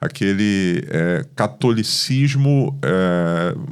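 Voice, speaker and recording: A man speaks with a Carioca accent. His pitch swings very widely. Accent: Carioca (Rio de Janeiro) Portuguese. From Rio de Janeiro, Brazil (born in Paraíba, moved as infant). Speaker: pastor. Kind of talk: podcast interview.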